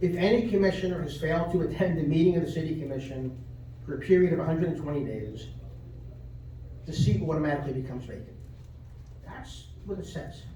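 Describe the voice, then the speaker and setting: A man with an American accent at a very fast pace, fairly high in pitch with ordinary pitch variation, broken by long, frequent pauses, amid noticeable background noise and audible room echo. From New York (Brooklyn). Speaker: lawyer speaking at public comment. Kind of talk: public comment at city meeting. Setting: city commission meeting. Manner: argumentative, repetitive.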